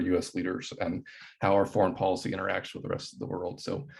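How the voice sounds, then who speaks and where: A man with an American accent rushes at a very fast pace, his fairly low voice somewhat breathy with ordinary pitch variation over a quiet background. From US Pacific Northwest (Anacortes, Washington). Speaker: anti-poverty activist, nonprofit founder. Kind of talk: informal talk to students. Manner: casual, many fillers and repetitions.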